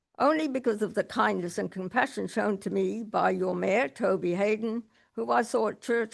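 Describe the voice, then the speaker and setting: The voice has an Australian accent and is heard over a quiet background. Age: 70s. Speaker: resident speaking at council meeting. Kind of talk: reading aloud a prepared statement. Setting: council meeting public question time.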